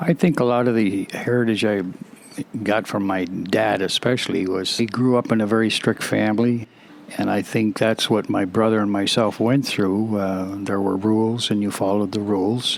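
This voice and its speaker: A man with a Canadian accent speaks at a moderate pace in a fairly low voice, his intonation fairly even, with noticeable background noise. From Alberta, Canada. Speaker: interviewee. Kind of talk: interview. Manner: halting, many fillers.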